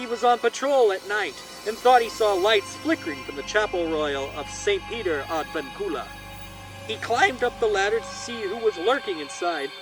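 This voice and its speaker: Against background music, a man speaks at a moderate pace with a high pitch and very wide pitch swings. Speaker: horror storyteller, channel host. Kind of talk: spooky storytelling, ghost story narration. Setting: outdoors by a fire, recorded with a shotgun microphone. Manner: projected, loud.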